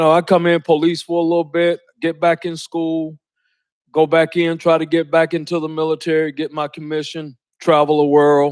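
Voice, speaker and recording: In a Georgia accent, a man speaks at a fairly high pitch with monotone, flat intonation. The recording is very clean, with a silent background. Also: moderate pace. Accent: Southern US (Georgia). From US South, Lawrenceville, Georgia. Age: 60s. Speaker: sheriff. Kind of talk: motivational talk. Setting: college speaking event with audience. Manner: casual, conversational.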